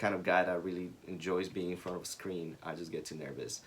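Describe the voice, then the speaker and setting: At a fairly quick pace, a man speaks with a Spanish accent. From Ecuador. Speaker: small business co-founder. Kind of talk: casual chat.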